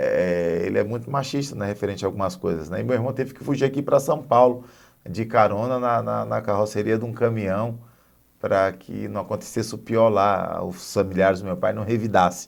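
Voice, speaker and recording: Here a man speaks at a fairly quick pace. His pitch is fairly low, with ordinary variation. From Northeast Brazil. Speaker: guest sharing life story. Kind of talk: testimony. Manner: halting, repeats words.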